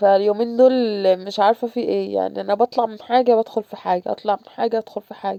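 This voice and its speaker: At a very fast pace, a woman speaks with big swings in loudness. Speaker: vlogger, mother. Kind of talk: casual home vlog. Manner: halting, with false starts.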